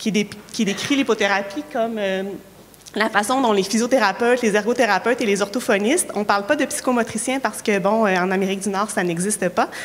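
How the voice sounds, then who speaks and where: Over noticeable background noise, a woman with a Quebec accent talks at a fairly quick pace in a fairly high pitch, with ordinary pitch variation and very even loudness. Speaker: occupational therapist and researcher. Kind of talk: conference talk. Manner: hesitant, many fillers.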